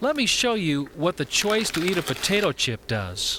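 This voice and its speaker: A man with a high voice speaks at a fairly slow pace, his pitch swinging very widely. Noticeable background noise is present. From United States. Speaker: naturopathic practitioner. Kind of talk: health infomercial presentation.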